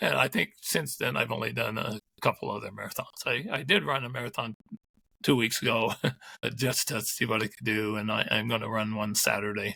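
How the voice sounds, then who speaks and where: Bright and sharp in tone with vocal fry, a man speaks at medium pitch with ordinary pitch variation. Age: 60s. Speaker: ultramarathon runner. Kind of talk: interview.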